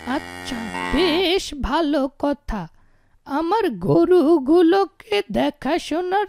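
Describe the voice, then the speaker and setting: A cartoonish character voice at a very slow pace. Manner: gentle, slow.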